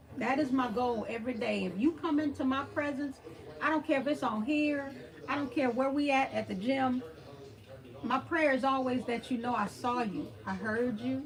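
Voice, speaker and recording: A woman with an American accent, an animated tone, a high pitch, ordinary pitch variation, and a moderate pace, set against noticeable background noise. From Texas (Beaumont). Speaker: thrift channel host. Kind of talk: livestream chat with viewers. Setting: livestream.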